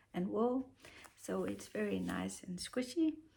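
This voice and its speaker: The pace is fairly slow. The speaker has a Danish accent. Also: woman. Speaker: knitting podcaster. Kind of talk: casual tutorial. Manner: halting, many fillers.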